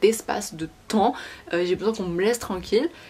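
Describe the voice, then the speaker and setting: Noticeable background noise behind a woman's medium-pitched voice with ordinary pitch variation. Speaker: beauty and lifestyle youtuber. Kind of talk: casual chat. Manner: fast.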